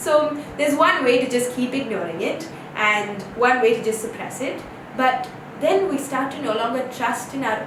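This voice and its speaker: Lively intonation marks this woman's high-pitched voice at a moderate pace. Noticeable background noise and audible room echo are present. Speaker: yoga teacher. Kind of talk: online course lesson.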